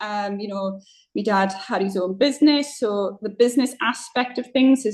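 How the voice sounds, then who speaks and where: A woman's moderate-paced speech with fairly even intonation. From Northeast England. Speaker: football club chair, businesswoman. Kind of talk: podcast interview.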